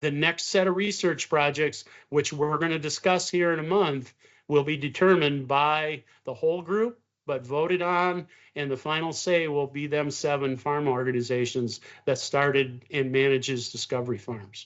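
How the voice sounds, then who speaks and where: Fairly high male voice, moderately paced, ordinary pitch variation. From Wisconsin. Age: 60s. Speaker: beef farmer. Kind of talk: interview. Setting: video call. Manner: halting, frequent fillers.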